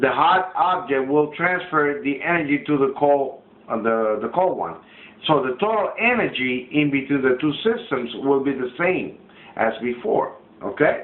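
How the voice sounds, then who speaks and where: A man with a non-native accent speaks at a fairly high pitch with lively intonation. His moderate pace is heard with audible room echo. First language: not English. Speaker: student. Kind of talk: classroom demonstration. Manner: halting.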